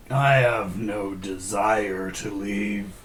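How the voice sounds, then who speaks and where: Over clear background noise, a man uses a put-on character voice that is raspy and fairly low in pitch. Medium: actual play. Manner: solemn, terse.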